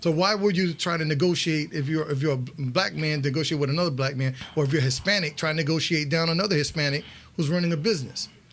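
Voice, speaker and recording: Speaking very fast with a strong Connecticut accent, a man keeps his fairly high pitch fairly even in intonation and his loudness very even. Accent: New Haven accent, thick. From New Haven, Connecticut, US. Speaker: radio show host. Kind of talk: interview, bilingual Spanish-English talk show.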